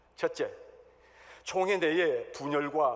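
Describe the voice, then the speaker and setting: A man's very slow speech comes with audible room echo. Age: 60s. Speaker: church elder, candidate for denominational office. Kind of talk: election campaign speech. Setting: church hall assembly. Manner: formal.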